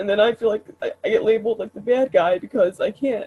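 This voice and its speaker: A somewhat breathy woman speaks at fairly high pitch. Her pace is fairly quick and her intonation lively. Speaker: women's talking circle leader. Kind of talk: casual chat. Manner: fast.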